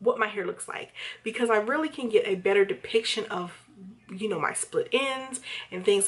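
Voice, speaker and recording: Her voice fairly high in pitch, a woman speaks with ordinary pitch variation. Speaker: hair vlogger. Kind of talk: casual vlog review. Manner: rambling, hesitant with fillers.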